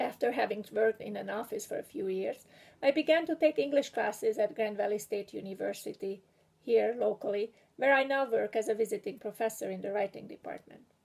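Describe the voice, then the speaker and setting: A woman speaks with a strong Hungarian accent. Her pace is fairly quick. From Hungary. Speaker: graduating PhD student and writing instructor. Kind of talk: prepared graduation speech. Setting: video recording. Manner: formal.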